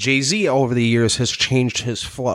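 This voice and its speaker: A man's plain, everyday voice with an American accent, medium pitch and a moderate pace. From New York City, Staten Island. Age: 20s. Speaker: podcast host. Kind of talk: casual chat.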